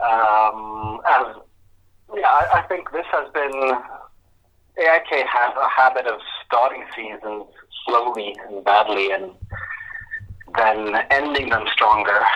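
A man speaks at a very slow pace and a medium pitch, with ordinary pitch variation. His pauses are long and frequent. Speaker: football journalist. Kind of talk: interview. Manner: halting.

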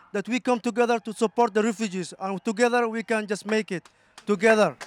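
The intonation stays fairly even, and the sound is dry and close with no echo. Noticeable background noise can be heard. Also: man. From Somalia. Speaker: refugee activist. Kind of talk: interview. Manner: halting.

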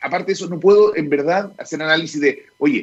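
At a very fast pace, a man speaks. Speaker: technology executive. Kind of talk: casual chat.

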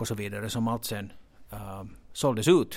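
This is a man speaking. His pitch is fairly low. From Finland. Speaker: stock exchange executive. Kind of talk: interview. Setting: exchange offices. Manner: halting, with many repeated words.

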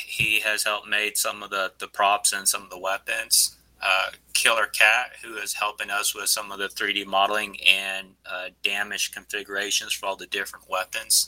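Amid noticeable background noise, a man talks with hardly any pauses. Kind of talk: casual interview.

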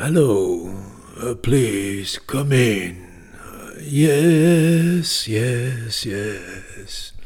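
Putting on a character voice, a man speaks very slowly at a medium pitch with very wide pitch swings and long, frequent pauses. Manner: welcoming, eager.

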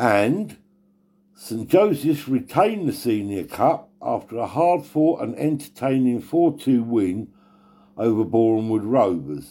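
Over a very clean recording with a silent background, a man speaks at a medium pitch and fairly slow pace, his dark, mellow tone marked by very wide pitch swings. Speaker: Sunday league report presenter. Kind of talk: scripted match report reading.

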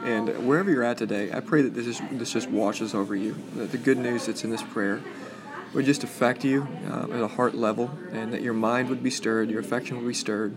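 Speech comes at a fairly quick pace with fairly even intonation over noticeable background noise. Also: man, medium pitch for a man. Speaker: podcast host and church leader. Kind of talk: reading aloud a prayer, then closing remarks. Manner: solemn, measured, reverent.

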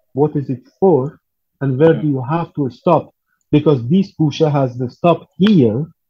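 Somewhat breathy, the voice keeps a moderate pace. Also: man, fairly high pitch for a man, ordinary pitch variation. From Iran, Tehran. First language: Persian. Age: 40s. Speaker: percussionist. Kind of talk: interview. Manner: halting.

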